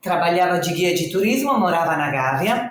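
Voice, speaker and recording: With lively intonation, a woman speaks in an Italian accent amid audible room echo. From northern Italy, Reggio Emilia. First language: Italian (speaking Portuguese). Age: 60s. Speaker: social project founder. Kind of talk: podcast interview.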